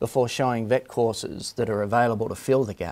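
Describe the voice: A man speaks at a medium pitch with ordinary pitch variation. His tone is slightly mellow.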